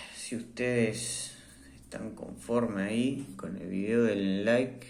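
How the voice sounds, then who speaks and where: A man with a medium pitch speaks at a very slow pace, his intonation fairly even but his loudness swinging widely. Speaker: tech reviewer. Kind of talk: product review. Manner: hesitant, many fillers.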